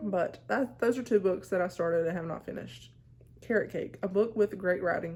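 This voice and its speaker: Speaking at a fairly quick pace, a woman with a Southern US accent uses lively intonation and vocal fry. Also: medium pitch for a woman. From US South. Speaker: book vlogger. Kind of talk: casual chat.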